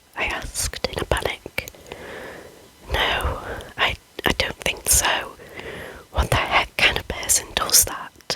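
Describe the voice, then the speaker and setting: Whispering over noticeable background noise. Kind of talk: whispered ASMR scary story reading. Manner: whispered.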